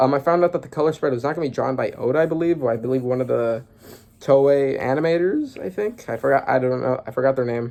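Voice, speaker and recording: At a very fast pace, a man speaks at a medium pitch with ordinary pitch variation and a dark, mellow tone. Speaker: manga reaction youtuber. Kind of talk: casual reaction commentary. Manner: animated.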